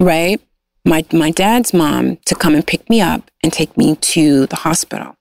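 Her fairly low voice carries vocal fry and ordinary pitch variation. The woman talks at a fairly slow pace, and the sound is dry and close with no echo. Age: 40s. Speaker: guest sharing life story. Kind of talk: casual interview.

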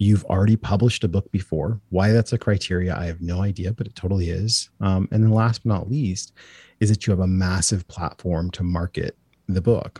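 The intonation stays fairly even. The voice is somewhat breathy. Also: man, very deep, low pitch for a man. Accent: American. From Portland, Oregon, US Pacific Northwest. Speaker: children's book publisher. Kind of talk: interview. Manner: halting, many fillers and repetitions.

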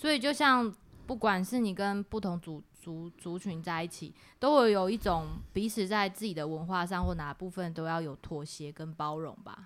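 A normal speaking voice from a woman, medium-pitched and moderately paced, with lively intonation on a very clean recording with a silent background. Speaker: podcast host. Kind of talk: casual chat.

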